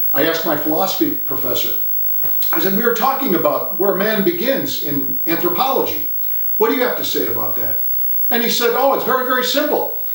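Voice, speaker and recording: A man's high voice at a fairly quick pace, swinging very widely in pitch, with audible room echo and noticeable background noise. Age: 60s. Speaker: art writer and essayist. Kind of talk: casual talk to camera about art.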